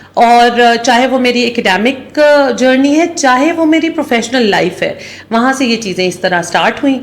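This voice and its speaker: Speaking with a Pakistani accent, a woman with a high pitch talks with lively intonation, very even loudness and hardly any pauses, over noticeable background noise. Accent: Pakistani Urdu. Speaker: CEO. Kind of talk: interview.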